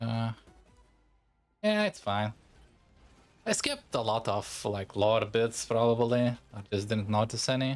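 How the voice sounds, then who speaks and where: Over music in the background, a man with a Lithuanian accent talks at a medium pitch in a monotone, flat intonation, at a fairly slow pace with long, frequent pauses. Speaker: VTuber game streamer. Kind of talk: casual livestream chat. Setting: livestream. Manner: casual, halting with fillers.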